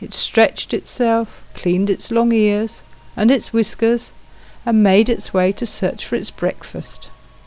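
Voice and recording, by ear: The speaker keeps a fairly even intonation while reading aloud in a natural voice.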